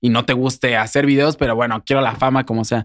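A man with a plain, everyday voice talks at a moderate pace with fairly even intonation on a very clean recording with a silent background. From Querétaro, Mexico. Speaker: singer and influencer. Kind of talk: interview.

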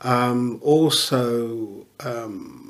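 A man at medium pitch with fairly even intonation and audible room echo. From English Midlands (Newark, Leicester). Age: 60s. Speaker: pastor and football club chaplain. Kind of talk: casual interview.

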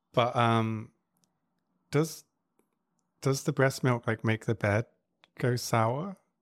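A man at medium pitch with ordinary pitch variation, very even loudness, a very slow pace and long, frequent pauses. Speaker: sex podcast host. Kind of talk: casual chat.

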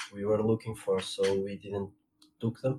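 A man with a Portuguese accent speaks with monotone, flat intonation. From Portugal. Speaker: trombonist. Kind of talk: interview. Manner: halting.

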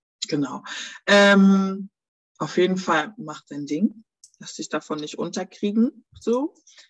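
A woman at a medium pitch with lively intonation, a very slow pace, long, frequent pauses, big swings in loudness, and a dry, close sound with no echo. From Germany. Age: 30s. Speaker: small business owner. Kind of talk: interview.

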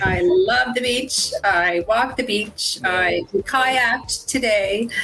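A woman speaking very slowly with ordinary pitch variation, music playing in the background. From Nova Scotia, Canada. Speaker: dental worker turned online business owner. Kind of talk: live-stream interview. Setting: online live stream.

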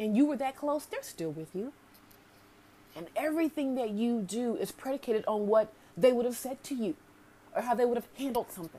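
In an American accent, a speaker talks at a fairly quick pace with an animated tone, very wide pitch swings and big swings in loudness. Long, frequent pauses break up the speech. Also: woman. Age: 40s. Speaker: podcast host, self-care coach. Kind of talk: casual monologue. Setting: home, sitting with coffee.

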